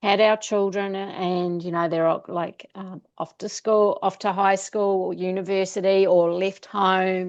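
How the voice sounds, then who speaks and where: At a very slow pace, a woman with a New Zealand accent speaks at a medium pitch. Her intonation is fairly even, and the background is quiet. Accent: Kiwi. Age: 50s. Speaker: travel coach. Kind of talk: interview.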